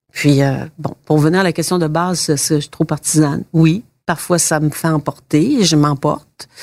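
At a fairly slow pace, a woman speaks in a very deep, low pitch with fairly even intonation, the sound dry and close with no echo. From Quebec, rural Bas-Saint-Laurent. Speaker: politician and former journalist. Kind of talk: interview. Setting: constituency office.

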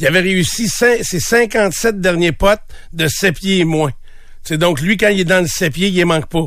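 The speech is very slow, with ordinary pitch variation. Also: man. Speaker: morning radio host. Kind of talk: casual chat.

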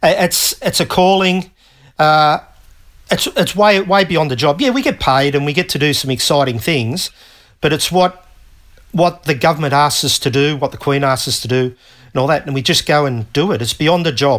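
Speaking with an Australian accent, a man uses ordinary pitch variation. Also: moderate pace. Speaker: retired navy technician. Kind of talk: interview. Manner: halting.

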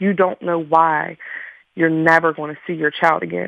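With an American accent, a woman speaks in a normal speaking voice, fairly low in pitch with fairly even intonation. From Pittsburgh, Pennsylvania. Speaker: grieving mother. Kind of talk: radio interview.

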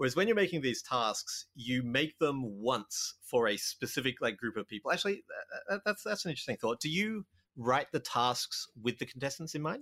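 On a very clean recording with a silent background and a dry, close sound with no echo, a man with an American accent talks at a moderate pace in a fairly high pitch, his bright, sharp tone marked by very wide pitch swings. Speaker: podcast host, game designer. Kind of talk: casual chat.

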